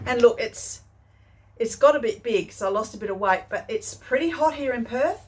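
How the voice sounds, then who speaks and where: This woman has an Australian accent and a high pitch, with very wide pitch swings. She talks at a moderate pace. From country Western Australia. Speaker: sewing vlogger. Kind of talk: casual chat. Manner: hesitant, many fillers.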